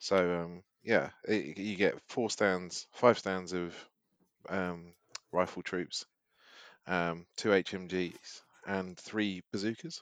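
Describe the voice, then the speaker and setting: Over a quiet background, a man with a British accent speaks very slowly in a very deep, low voice with fairly even intonation. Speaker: podcast co-host. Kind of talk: casual banter.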